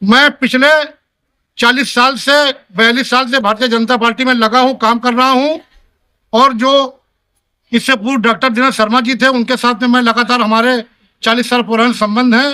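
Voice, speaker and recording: A man with an extremely high pitch uses a raised, projected voice with a bright, sharp tone, monotone, flat intonation and very even loudness. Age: 70s. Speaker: politician. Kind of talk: speech to reporters at community meeting.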